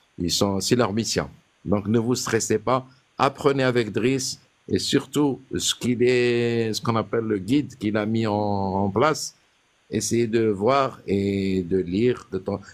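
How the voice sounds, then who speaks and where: At a very slow pace, a man speaks in a medium pitch with ordinary pitch variation. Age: 60s. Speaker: caller sharing naturalization interview experience. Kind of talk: casual chat.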